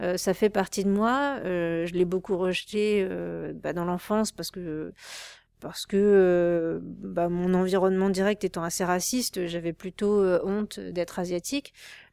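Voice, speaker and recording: A very clean recording with a silent background, holding a woman's voice at medium pitch. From Paris suburbs, France. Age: 30s. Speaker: artist. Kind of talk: interview. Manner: halting, many fillers.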